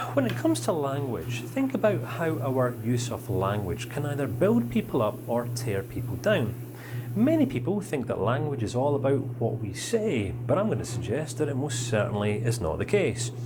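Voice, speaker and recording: A man speaks in a Scottish accent with an animated tone at a moderate pace. The room echoes audibly, and background noise is noticeable. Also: medium pitch for a man, ordinary pitch variation. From Scotland, raised in northern England. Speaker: counselling course instructor. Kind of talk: lecture. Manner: animated, varied tone.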